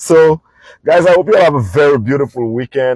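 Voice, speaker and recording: A man with a Saint Lucian accent, animated in tone, at a fairly quick pace, with ordinary pitch variation and a dry, close sound free of echo. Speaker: podcast host, travel business owner. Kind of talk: casual monologue podcast. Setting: in a parked vehicle.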